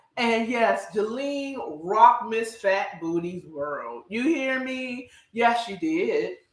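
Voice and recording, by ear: A woman speaks slowly in a fairly high pitch with big pitch swings and a fairly bright tone. Audible room echo surrounds her voice.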